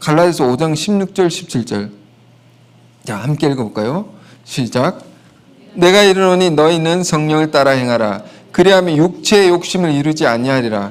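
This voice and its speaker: A man with a fairly high pitch speaks at a moderate pace with lively intonation and long, frequent pauses, his voice carrying audible room echo. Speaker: pastor. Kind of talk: sermon.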